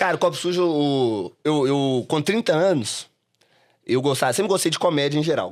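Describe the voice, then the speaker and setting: A man's fairly high voice with lively intonation at a moderate pace, on a very clean recording with a silent background. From Brazil, Belo Horizonte (Minas Gerais). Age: 30s. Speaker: comedy club owner and stand-up comedian. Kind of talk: podcast interview. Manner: casual, hesitant with repetitions.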